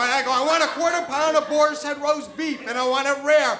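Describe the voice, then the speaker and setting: Over noticeable background noise and audible room echo, a man with an extremely high pitch uses a raised, projected voice and fairly even intonation. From New Hampshire. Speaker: storyteller. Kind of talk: live storytelling. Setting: stage with audience. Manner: halting, repeats words.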